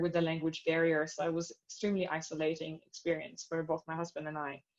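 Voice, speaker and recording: A woman with a non-native accent at a fairly low pitch and a fairly quick pace. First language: not English. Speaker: astronomer on career panel. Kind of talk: panel discussion.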